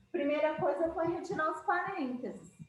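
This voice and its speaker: In a room with audible echo, a woman speaks at an extremely high pitch. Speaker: math teacher. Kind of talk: lecture.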